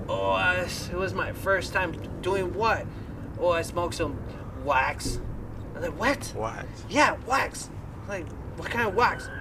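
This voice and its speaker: A man speaks rather slowly while noticeable background noise carries on. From Colombia. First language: Spanish. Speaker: rock band musician. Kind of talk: casual chat.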